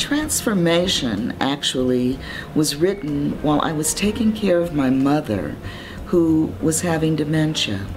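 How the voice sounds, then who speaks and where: Calm in tone, a woman with a very deep, low pitch talks at a fairly slow pace. Her intonation is lively, with noticeable background noise behind her. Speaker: poet. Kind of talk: interview answer. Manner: calm, reflective.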